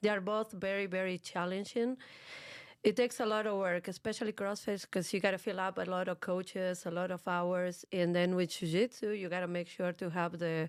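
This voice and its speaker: The recording is very clean with a silent background. A woman at a medium pitch speaks at a fairly quick pace with fairly even intonation. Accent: strong Argentine. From Argentina, Buenos Aires. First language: Spanish. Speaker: fitness and jiu-jitsu coach, gym co-owner. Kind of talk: interview. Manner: tries not to speak too fast.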